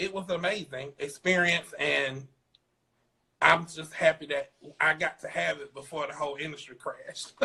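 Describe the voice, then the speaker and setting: Speaking in a South Carolina accent at a moderate pace, a man has a fairly high pitch with ordinary pitch variation and vocal fry. His tone is bright and sharp, with big swings in loudness. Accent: Southern US (South Carolina). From US South, South Carolina. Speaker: fashion designer. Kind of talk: interview.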